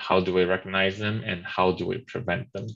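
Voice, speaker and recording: A very deep, low-pitched man's voice with a Chinese accent and fairly even intonation. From China. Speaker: webinar moderator. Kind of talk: webinar discussion. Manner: halting.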